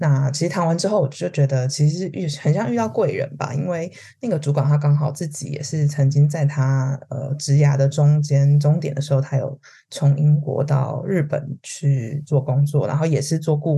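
A woman with a very deep, low voice talks at a moderate pace, somewhat breathy and dark and mellow in tone, her intonation fairly even. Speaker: HR consultant. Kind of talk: casual interview chat.

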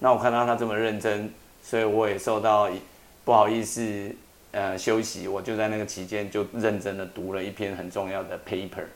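In a Taiwanese accent, a man with a fairly low pitch speaks in a flat monotone at a moderate pace, with audible room echo. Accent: Taiwanese Mandarin. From Taiwan, Taitung. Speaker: atmospheric science professor. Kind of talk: interview about his translated book.

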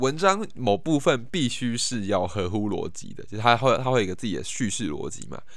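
A man at a moderate pace, with audible room echo. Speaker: podcast host. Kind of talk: casual monologue. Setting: at home in his room. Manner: halting, many repetitions and fillers.

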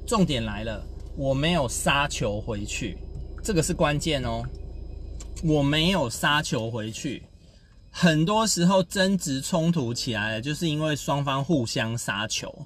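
A somewhat breathy man with a fairly high pitch, lively intonation and fairly slow pace. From Taiwan. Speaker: podcast host, communication coach. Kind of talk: casual storytelling monologue. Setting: in a car, driving.

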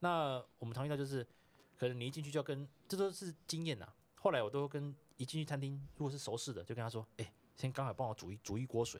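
A man's fairly high voice at a very fast pace. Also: ordinary pitch variation. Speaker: cycling tour operator. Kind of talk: casual chat.

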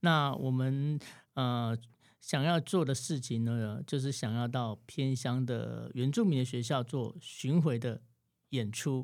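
This man's voice sits at medium pitch, with ordinary variation and a very slow pace. The recording is very clean, with a silent background. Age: 40s. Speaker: saxophonist. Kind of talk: interview.

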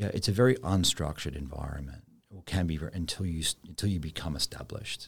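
At a very fast pace, a man talks in a very deep, low pitch with vocal fry and lively intonation. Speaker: bank executive. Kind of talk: interview. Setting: studio.

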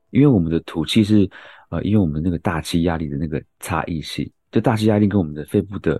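A man speaks in a dark, mellow tone with lively intonation. The sound is dry and close with no echo, and the background is quiet. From Taiwan, Yilan. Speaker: medical doctor, co-host. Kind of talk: casual medical explanation.

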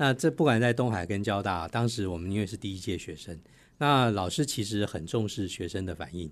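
Against a quiet background, a man with an ordinary speaking voice talks at a fairly quick pace, his fairly low pitch carried by lively intonation. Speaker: corporate sustainability officer and spokesperson. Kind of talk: radio interview.

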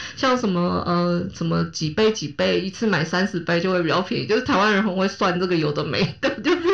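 A woman's voice with lively intonation and a fairly quick pace, amid noticeable background noise. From Taiwan, Kaohsiung. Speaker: podcast host. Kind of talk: casual chat.

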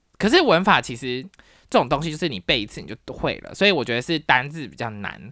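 In a very clean recording with a silent background, a woman speaks very fast with a very deep, low pitch, very wide pitch swings and big swings in loudness. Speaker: podcast host, university professor. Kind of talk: casual solo talk. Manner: animated.

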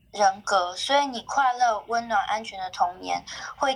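A woman with a plain, everyday voice, fairly high in pitch with ordinary pitch variation, at a fairly slow pace. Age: 30s. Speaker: podcast guest sharing family story. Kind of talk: casual chat, personal storytelling.

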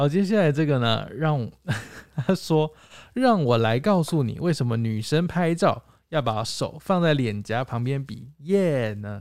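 In an ordinary speaking voice, a man talks at a fairly slow pace with lively intonation and a fairly high pitch, on a very clean recording with a silent background. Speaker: podcast co-host. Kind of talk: casual chat.

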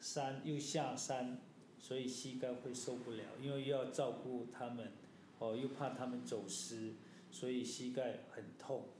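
The speech comes at a fairly slow pace with monotone, flat intonation. Audible room echo and noticeable background noise surround it. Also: man, medium pitch for a man. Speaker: mountaineer, father. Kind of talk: casual chat.

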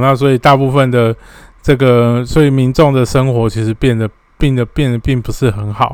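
A man's plain, everyday voice at a medium pitch, moderate pace and fairly even intonation. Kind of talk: solo explainer monologue. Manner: frequent filler particles (哦).

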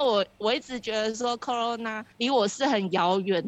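A woman with a Taiwanese accent speaks at a moderate pace. Her pitch is fairly high and varies in an ordinary way. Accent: Taiwanese Mandarin. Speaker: Taiwanese expat worker in COVID quarantine. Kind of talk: interview. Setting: phone call from quarantine center.

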